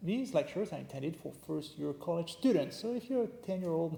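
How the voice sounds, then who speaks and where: With a French accent, a man speaks at a high pitch in a dark, mellow tone. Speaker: history professor. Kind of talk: lecture. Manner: casual, joking.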